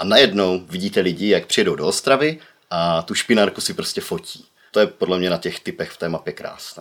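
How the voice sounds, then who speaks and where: Pushing along somewhat briskly, the man is heard on a very clean recording with complete background silence. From Czech Republic, Ostrava. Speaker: social media city promoter. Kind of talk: casual chat.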